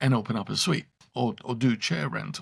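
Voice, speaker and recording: A man with an English accent speaks at a moderate pace. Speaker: salon owner coach. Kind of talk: casual chat.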